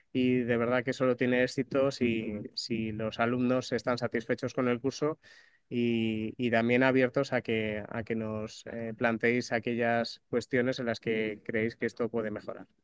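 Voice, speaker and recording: Monotone and flat, a man's medium-pitched voice moves at a fairly slow pace. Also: dry, close sound with no echo, quiet background. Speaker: doctor, course coordinator. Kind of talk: opening address. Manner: halting, many fillers.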